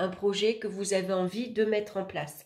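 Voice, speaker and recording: Fairly slow speech from a woman at a medium pitch. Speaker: tarot reader, astrologer. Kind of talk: tarot horoscope reading. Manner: hesitant, with fillers.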